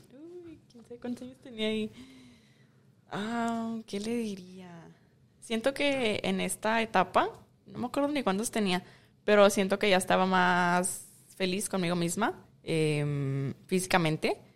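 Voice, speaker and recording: The speech moves very slowly, with long, frequent pauses and big swings in loudness. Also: woman, medium pitch for a woman. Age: 20s. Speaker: beauty pageant winner and model. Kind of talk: casual interview. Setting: outdoors in a park.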